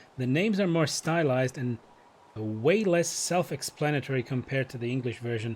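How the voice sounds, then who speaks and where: The speaker has a non-native accent and a somewhat breathy voice. Delivery is fairly quick, with lively intonation. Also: man. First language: not English. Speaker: game streamer. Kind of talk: live gameplay stream, reading game dialogue aloud.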